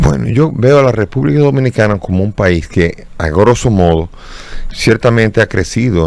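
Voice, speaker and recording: A man at a moderate pace with lively intonation, over noticeable background noise. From Dominican Republic. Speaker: bishop. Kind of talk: interview. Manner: halting, with repetitions.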